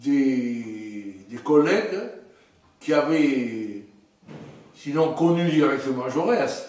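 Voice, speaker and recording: Lively intonation at a very slow pace with long, frequent pauses, amid noticeable background noise and audible room echo. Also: man, fairly high pitch for a man. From southern France, Aude near Narbonne. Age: 70s. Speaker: history professor. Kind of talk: interview testimony. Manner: animated; hesitant fillers.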